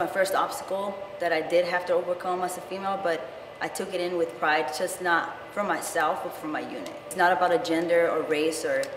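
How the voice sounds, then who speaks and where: A woman's fairly low voice in a Spanish accent, at a fairly quick pace with fairly even intonation, amid noticeable background noise and audible room echo. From California (Rich Grove). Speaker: soldier. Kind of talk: interview.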